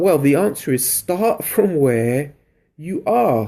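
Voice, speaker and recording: A man speaks at a fairly slow pace with a London accent. His voice is fairly high-pitched, with a dark, mellow tone. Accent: British accent, London. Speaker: creativity coach, live streamer. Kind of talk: live stream talk to viewers. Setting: live video stream. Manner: animated.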